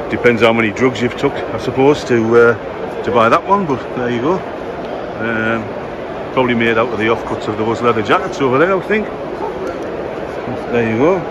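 Amid loud background noise, a man talks at a moderate pace with long, frequent pauses and ordinary pitch variation, the sound dry with no echo. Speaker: car show vlogger. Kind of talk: casual vlog commentary. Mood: jokey, relaxed. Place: hall. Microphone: phone near.

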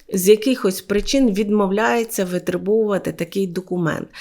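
A woman with an unremarkable speaking voice and a medium pitch talks at a fairly slow pace. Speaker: lawyer. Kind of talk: legal case story to camera.

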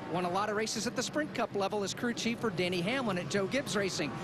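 Music plays in the background as a man talks at a fairly quick pace. His pitch is high. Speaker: pit reporter. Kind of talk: live broadcast garage reporting.

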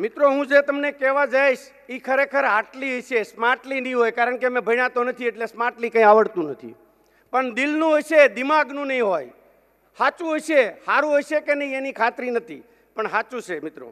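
An extremely high male voice with ordinary pitch variation, over a quiet background. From Gujarat, rural Saurashtra; Gujarat. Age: 50s. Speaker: businessman; speaker. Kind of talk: keynote speech. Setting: stage with audience. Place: hall. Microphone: podium.

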